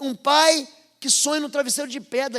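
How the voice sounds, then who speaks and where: A man with a northern Brazilian accent, extremely high-pitched and animated in tone. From northern/northeastern Brazil. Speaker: pastor. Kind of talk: sermon. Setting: church service with congregation.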